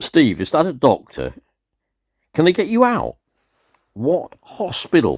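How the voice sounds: Putting on a character voice, a man speaks at a fairly slow pace with a fairly high pitch, very wide pitch swings, a slightly husky edge and a slightly mellow tone.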